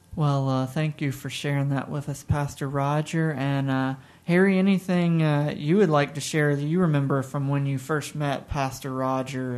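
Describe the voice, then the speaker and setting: A man with a fairly high pitch speaks at a moderate pace. It is a normal speaking voice. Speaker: radio host. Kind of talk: interview for a church radio show.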